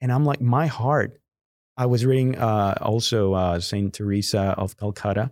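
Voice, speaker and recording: At a medium pitch and moderate pace, a man talks with ordinary pitch variation and very even loudness in a very clean recording with a silent background. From Guadalajara, Mexico. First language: Spanish. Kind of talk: interview conversation.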